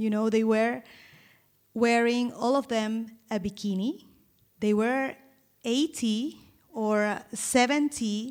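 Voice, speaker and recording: In a very clean recording with a silent background, a woman with a Spanish accent speaks at a very slow pace with long, frequent pauses, her fairly high voice held to fairly even intonation. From Colombia, Caribbean coast. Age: 40s. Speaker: style consultant. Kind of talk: personal testimony on a live panel. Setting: stage with audience.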